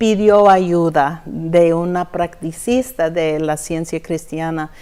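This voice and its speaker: The speaker has an English accent. The pace is very slow. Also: woman. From Texas. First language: English (speaking Spanish). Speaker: church member giving testimony. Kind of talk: testimony interview. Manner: halting, searching for words.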